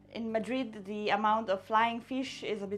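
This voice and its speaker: A woman speaks at a fairly slow pace as faint music plays in the background. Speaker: cooking show host. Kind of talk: casual cooking tutorial chat. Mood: light, humorous.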